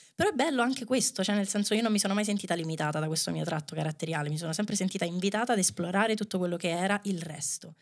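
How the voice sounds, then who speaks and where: Talking at a very fast pace with hardly any pauses, a woman keeps to a medium pitch with ordinary pitch variation over a quiet background. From Rome, Italy; Italy. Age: 30s. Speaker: dancer and choreographer; podcast guest. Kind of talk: casual chat. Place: studio. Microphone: studio mic.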